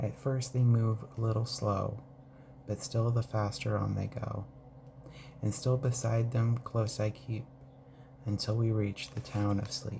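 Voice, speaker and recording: A soft-spoken man talks at a medium pitch and a fairly slow pace. His intonation stays fairly even, with long, frequent pauses. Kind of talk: ASMR poetry reading.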